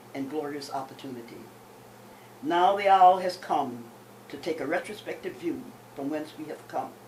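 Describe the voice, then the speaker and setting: The speech moves at a moderate pace. Audible room echo surrounds the voice. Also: woman. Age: 80s+. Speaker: poet. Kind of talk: reading aloud. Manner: formal.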